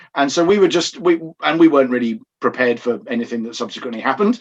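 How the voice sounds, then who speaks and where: Here a man speaks with an English accent. His pace is very fast. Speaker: pastor. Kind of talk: podcast interview.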